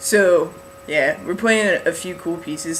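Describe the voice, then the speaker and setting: Male speech at a moderate tempo with ordinary pitch variation, noticeable background noise behind it. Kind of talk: casual vlog update. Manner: rambling, filler-heavy.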